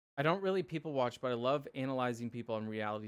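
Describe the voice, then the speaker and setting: The recording is very clean, the background silent. A man speaks very fast at a medium pitch with ordinary pitch variation. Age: 30s. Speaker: streamer and mental health youtuber. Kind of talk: casual chat. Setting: live stream. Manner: stutters at times.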